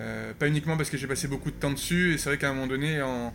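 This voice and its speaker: A man speaks very fast at a fairly high pitch, with flat, monotone intonation. Audible echo fills the room. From France, Landes (born in Canada, moved at 6). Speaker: cabinetmaker. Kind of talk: interview. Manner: halting, many fillers and repetitions.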